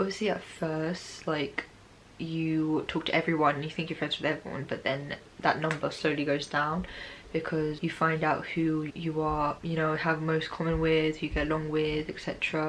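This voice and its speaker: A woman's very deep, low voice, monotone and flat, at a moderate pace against noticeable background noise. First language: not English. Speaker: student vlogger. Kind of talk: casual vlog advice. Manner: casual, filler-heavy.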